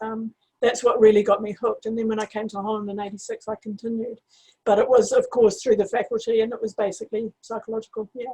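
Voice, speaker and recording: Very fast, somewhat breathy speech in a New Zealand accent, dark and mellow in tone, monotone and flat in intonation, with big swings in loudness. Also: woman, fairly high pitch for a woman. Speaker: astrologer. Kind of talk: interview. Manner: halting.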